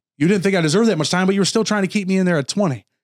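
The voice, with an American accent, has a dry, close sound with no echo on a very clean recording with a silent background. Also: man. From Rochester, New York, US. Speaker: former prisoner turned paralegal. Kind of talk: interview storytelling.

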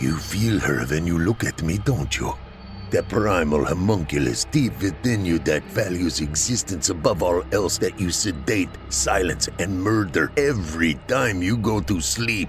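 A man's put-on character voice, very deep and low, at a moderate pace, with hissing and clear background noise. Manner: hissing, vehement, menacing.

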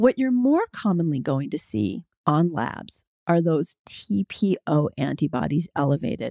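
A very deep, low-pitched woman's voice with a dark, mellow tone, very wide pitch swings, a fairly slow pace, and a dry, close sound with no echo. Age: 50s. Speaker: physician and midwife podcast host. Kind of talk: solo health podcast Q&A monologue.

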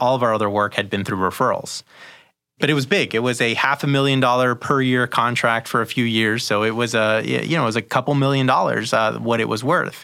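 A man with a bright, sharp tone speaks at a fairly quick pace with fairly even intonation and very even loudness, in a very clean recording with a silent background. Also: medium pitch for a man. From Peru, raised in an immigrant family in the US. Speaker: marketing agency founder. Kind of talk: interview.

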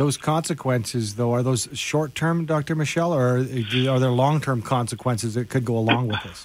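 In an ordinary speaking voice, a man talks at a moderate pace and medium pitch, with ordinary pitch variation and hardly any pauses. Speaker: radio host. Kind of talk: radio interview. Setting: radio studio.

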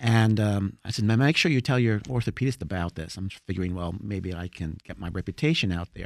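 In a very clean recording with a silent background and a dry, close sound with no echo, a man with an American accent and an unremarkable speaking voice talks at a fairly quick pace with a fairly low pitch. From New Jersey. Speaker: chiropractor. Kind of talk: radio interview.

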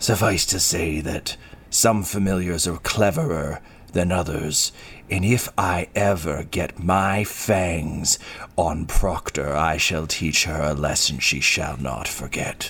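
A man growls in a put-on character voice, his pitch very deep and low. He talks at a fairly slow pace over clear background noise. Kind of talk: formal, archaic. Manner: snarling, menacing.

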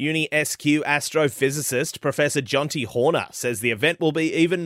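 In an Australian accent, a man speaks at a moderate pace and a fairly high pitch. The recording is very clean, with a silent background. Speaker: radio news presenter. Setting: studio. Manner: crisp, even and formal, authoritative and fluent with no hesitations.

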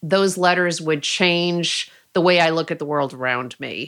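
In a very clean recording with a silent background, a woman speaks. She has an ordinary speaking voice, fairly low in pitch, with ordinary pitch variation. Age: 50s. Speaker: author and podcast host. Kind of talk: interview.

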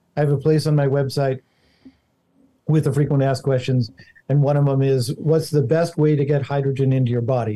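A man with an American accent speaks at a medium pitch and a fairly quick pace. His delivery is somewhat breathy, with flat, monotone intonation. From Montana. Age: 60s. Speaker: inventor. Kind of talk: interview.

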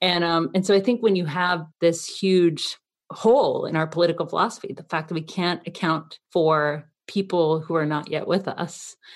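Over a quiet background, a woman with an American accent and an ordinary speaking voice talks at a moderate pace, her pitch fairly low and her intonation fairly even. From US South, Athens, Georgia. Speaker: filmmaker, writer and political organizer. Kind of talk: interview.

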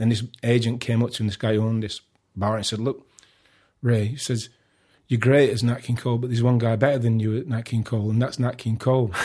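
With a Sheffield accent, the speaker rushes along at a very fast pace in a monotone, flat intonation and a dark, mellow, somewhat breathy tone, on a very clean recording with a silent background. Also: man, medium pitch for a man. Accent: Yorkshire (Sheffield). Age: 50s. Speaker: artist. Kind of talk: casual chat. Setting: at home.

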